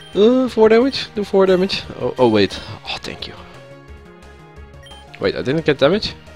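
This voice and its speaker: A man's high voice at a moderate pace, with long, frequent pauses, big swings in loudness and music in the background. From Netherlands. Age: 20s. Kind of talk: casual gameplay commentary.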